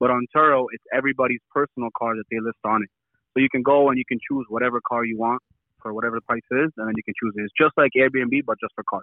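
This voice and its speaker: The delivery comes at a very fast pace with fairly even intonation. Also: man, medium pitch for a man. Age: 20s. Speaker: young entrepreneur running a car rental side business. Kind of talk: casual interview.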